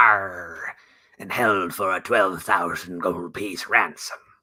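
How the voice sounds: This man uses a put-on character voice that is raspy and fairly low in pitch. He talks at a fairly slow pace.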